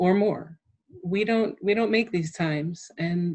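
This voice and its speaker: Speaking at a moderate pace with an American accent, a woman has a fairly low, somewhat breathy voice and ordinary pitch variation. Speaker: disease survivor, former orchestra musician. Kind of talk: casual interview. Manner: halting.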